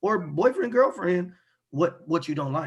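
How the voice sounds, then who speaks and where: The voice belongs to a man. There is a somewhat breathy quality to it. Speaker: podcast co-host. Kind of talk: casual chat. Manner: lowered voice, speaking quietly.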